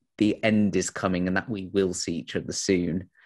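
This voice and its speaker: Here a man speaks at a moderate pace with a fairly low pitch. The background is quiet. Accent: Yorkshire. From Sheffield, northern England. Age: 20s. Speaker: interviewee. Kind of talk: interview.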